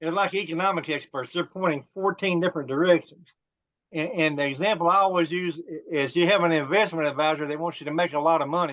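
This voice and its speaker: High-pitched male voice at a very fast pace. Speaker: business coach. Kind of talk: panel discussion.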